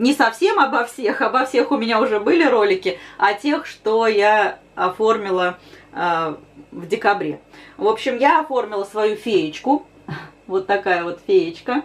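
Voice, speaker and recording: Lively intonation marks a woman speaking at a fairly slow pace. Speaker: embroidery channel host. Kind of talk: casual vlog chat. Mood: slightly rueful then cheerful. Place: home room. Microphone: camera far.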